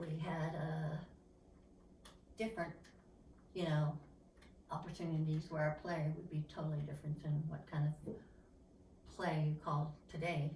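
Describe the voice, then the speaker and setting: With an Appalachian accent, a woman speaks fairly slowly in a very deep, low, somewhat breathy voice with fairly even intonation, and room echo is audible. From eastern Kentucky coal country. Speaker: interviewee. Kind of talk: oral history interview. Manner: halting.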